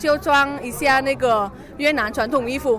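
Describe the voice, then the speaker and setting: Music plays in the background while a woman speaks in a high pitch with ordinary pitch variation. Room echo can be heard. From Vietnam, Hanoi. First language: Vietnamese (speaking Chinese). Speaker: international student. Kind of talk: interview at exhibition booth. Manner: halting.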